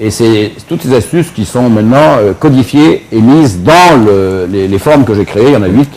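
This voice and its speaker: An ordinary speaking voice with lively intonation, moderate pace, hardly any pauses. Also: man, medium pitch for a man. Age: 60s. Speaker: martial arts teacher and founder. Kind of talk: TV interview.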